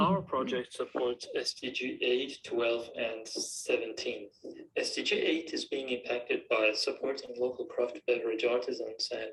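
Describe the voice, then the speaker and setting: Someone with a non-native accent speaks at a moderate pace. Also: man. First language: not English. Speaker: student project presenter. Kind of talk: presentation.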